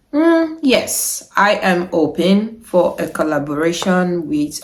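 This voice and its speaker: Pitched fairly low for a woman, her voice shows ordinary pitch variation. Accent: Niger Delta. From Nigeria, Delta State. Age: 30s. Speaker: YouTuber. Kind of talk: Q&A vlog.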